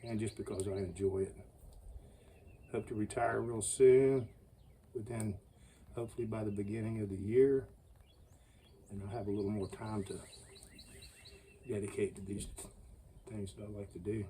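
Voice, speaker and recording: Somewhat breathy and dark, mellow in tone, a man's fairly low voice moves at a moderate pace. His intonation stays fairly even, with long, frequent pauses. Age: 60s. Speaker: bushcraft YouTuber. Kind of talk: casual outdoor tutorial.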